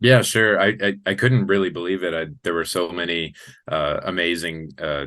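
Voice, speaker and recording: Against a quiet background, a man with a very deep, low pitch and a bright, sharp tone speaks with ordinary pitch variation. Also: moderate pace. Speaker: new arena public address announcer for a hockey team. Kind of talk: interview answer. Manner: enthusiastic, energetic.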